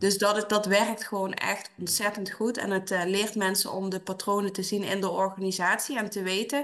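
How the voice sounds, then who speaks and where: This woman has a plain, everyday voice at a medium pitch and moves at a fairly quick pace. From Dutch Limburg. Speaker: HR consultant. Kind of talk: interview.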